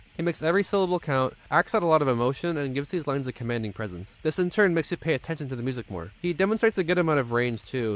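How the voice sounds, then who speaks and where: A fast-talking man with an American accent, fairly high-pitched, with very wide pitch swings and hardly any pauses. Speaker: music reviewer. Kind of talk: album review monologue. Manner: lispy.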